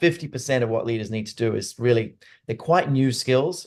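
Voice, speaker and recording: A man with an American accent, medium pitch, moderate pace and ordinary pitch variation. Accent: Australian with some American twang. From Australia (Sydney). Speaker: neuroscience leadership expert and company CEO. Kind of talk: webinar interview. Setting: webinar.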